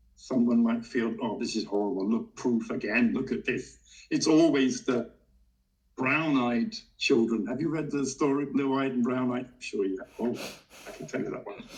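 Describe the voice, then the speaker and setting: A man with an ordinary speaking voice talks at a moderate pace and medium pitch. His intonation is lively, and his loudness swings widely. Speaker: coaching trainer for teachers. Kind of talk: interview conversation.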